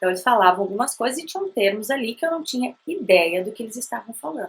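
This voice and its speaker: The speech comes at a very fast pace. Its pitch swings very widely. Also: woman. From Brazil. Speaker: language teacher, bilingual parenting educator. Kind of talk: educational talk to camera. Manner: conversational.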